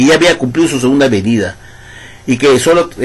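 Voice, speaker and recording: A man's animated tone amid noticeable background noise. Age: 60s. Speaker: ex-Jehovah's Witness video commentator. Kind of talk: monologue rebuttal video.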